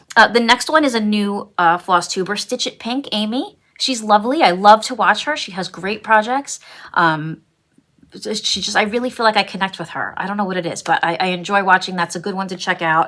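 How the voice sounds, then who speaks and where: A woman speaks at a fairly quick pace with ordinary pitch variation. Her medium-pitched voice has a bright, sharp tone. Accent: Brooklyn. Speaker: cross-stitch vlogger. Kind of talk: casual vlog chat. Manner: hesitant, many fillers.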